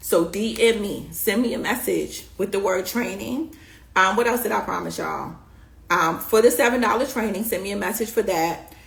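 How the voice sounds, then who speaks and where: A woman's medium-pitched voice with an American accent, ordinary pitch variation and audible room echo. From New York. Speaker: beauty business coach. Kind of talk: live stream coaching talk. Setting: live stream. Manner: fast; animated.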